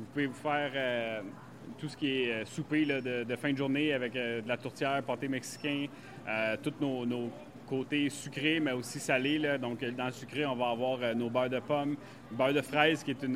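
The voice belongs to a man and sits at a medium pitch. His delivery is monotone and flat. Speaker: farmer and farm shop owner. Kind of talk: guided farm tour interview. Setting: on site at farm shop. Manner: hesitant with fillers.

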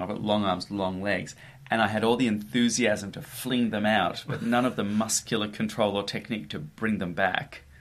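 In an ordinary speaking voice, a man speaks at a moderate pace with a fairly low pitch and ordinary pitch variation. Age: 30s. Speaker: comedy cabaret performer. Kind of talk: casual chat.

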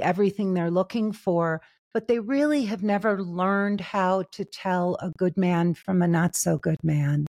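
A woman's voice, an unremarkable speaking voice, medium in pitch with ordinary pitch variation, dry and close with no echo, on a very clean recording with a silent background. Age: 60s. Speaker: love and relationship coach. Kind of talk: interview.

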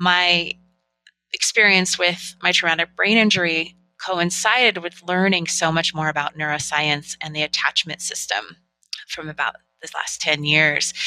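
A woman's bright, sharp voice, fairly low in pitch, with fairly even intonation. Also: moderate pace, dry, close sound with no echo. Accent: American. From Northern California. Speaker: relationship coach. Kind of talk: interview.

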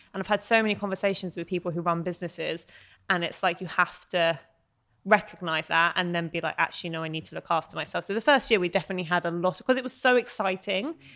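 Speaking at a very fast pace with a British accent, a woman uses ordinary pitch variation. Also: very clean recording, silent background. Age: 20s. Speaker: entrepreneur and blogger. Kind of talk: casual chat.

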